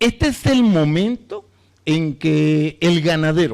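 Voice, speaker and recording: This man speaks very slowly in a high voice. His pitch swings very widely. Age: 60s. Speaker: veterinarian. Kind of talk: lecture. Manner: halting, many fillers and restarts.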